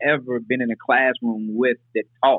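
A man speaks with an American accent at a medium pitch. His pace is fairly quick. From Nashville, Tennessee (US South). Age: 40s. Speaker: formerly incarcerated justice reform advocate. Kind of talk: interview.

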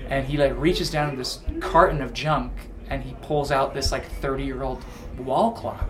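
Music plays behind a man who speaks at a moderate pace. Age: 20s. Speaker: rock band singer. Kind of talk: casual chat. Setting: backstage at a concert venue. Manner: soft-spoken.

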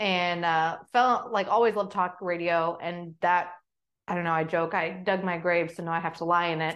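In an unremarkable speaking voice with an American accent, a woman talks at a moderate pace and a fairly low pitch, with fairly even intonation. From Oklahoma. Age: 30s. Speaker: conservative commentator and podcaster. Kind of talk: interview conversation.

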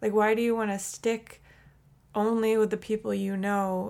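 A woman with an American accent, medium in pitch, with monotone, flat intonation. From small town in New York state. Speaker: podcast host. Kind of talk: casual interview; monologue intro. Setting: video call.

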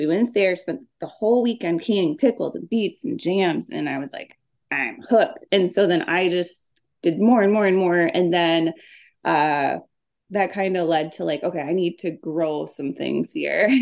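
The speaker has an Upper Midwest accent and some vocal fry. Delivery is at a moderate pace with lively intonation. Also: woman, fairly low pitch for a woman. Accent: Upper Midwest (Minnesota). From Minnesota. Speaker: homesteading author. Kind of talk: casual interview.

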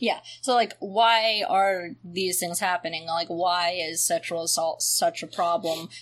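Hardly pausing, a woman with a normal speaking voice talks at a fairly slow pace in a medium pitch with fairly even intonation. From US South. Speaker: podcast host. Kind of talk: casual chat.

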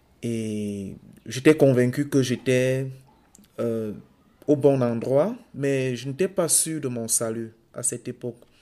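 A man with a Cameroonian accent speaks in a dark, mellow tone at a very slow pace, with long, frequent pauses. His pitch variation is ordinary, while his loudness swings widely. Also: medium pitch for a man. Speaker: podcast co-host. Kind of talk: testimony.

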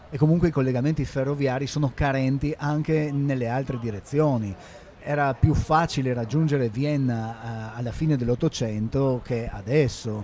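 A man talks at a moderate pace in a medium-pitched voice. His intonation is fairly even, and there is noticeable background noise. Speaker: podcast host. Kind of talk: casual discussion.

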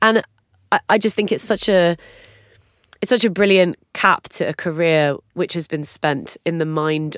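On a very clean, dry, close recording with no echo and a silent background, a woman with a British accent speaks at a fairly low pitch with lively intonation. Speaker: music podcast co-host, former music journalist. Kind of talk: casual chat. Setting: studio.

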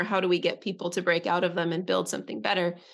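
A woman is heard speaking over a quiet background. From Northern California. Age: 30s. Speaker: musician and creative producer. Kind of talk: casual interview chat. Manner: halting, many restarts and fillers.

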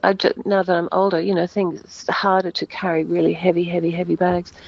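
A woman at a medium pitch and moderate pace, a normal speaking voice. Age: 60s. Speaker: actress. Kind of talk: interview. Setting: phone call.

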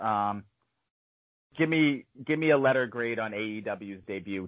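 The voice has ordinary pitch variation and is an ordinary speaking voice. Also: man. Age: 30s. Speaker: podcast host. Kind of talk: casual chat.

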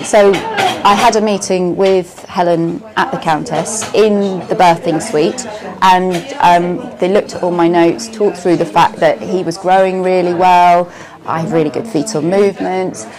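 With noticeable background noise behind her, a woman of medium pitch speaks at a moderate pace and with ordinary pitch variation. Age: 40s. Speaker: mother. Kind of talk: testimony. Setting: cafe.

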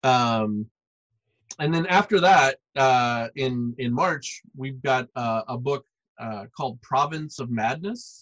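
Speaking very slowly with an American accent, a man uses a medium pitch and ordinary pitch variation in a dry, close sound with no echo. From US South, Arkansas. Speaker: comics publisher and artist. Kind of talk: casual interview.

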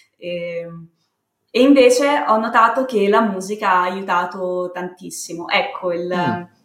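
In audible room echo, a woman speaks at a fairly slow pace in a medium pitch with ordinary pitch variation. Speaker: communications consultant and podcaster. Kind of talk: casual interview. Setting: remote call, home setup. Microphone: built-in laptop mic.

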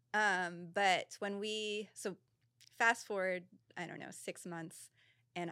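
Speaking at a very slow pace with an American accent, a woman has a bright, sharp tone and fairly low pitch, recorded dry and close with no echo in a very clean recording with a silent background. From Colorado, US. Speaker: musician. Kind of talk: casual chat. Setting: studio.

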